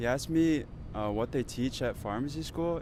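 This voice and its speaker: Pitch varies in an ordinary way while a man talks fairly slowly. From United States. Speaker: pharmacy student. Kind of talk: casual chat.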